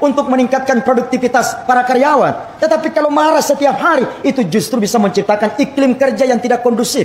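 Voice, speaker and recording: Over noticeable background noise, a man with a Makassar accent talks at a fairly quick pace, his extremely high pitch showing ordinary pitch variation. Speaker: Islamic preacher. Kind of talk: humorous sermon.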